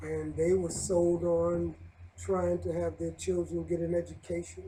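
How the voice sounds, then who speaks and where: A man talks at a fairly slow pace while noticeable background noise runs behind him. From New York City (Brooklyn). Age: 60s. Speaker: Hebrew Israelite elder. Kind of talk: interview.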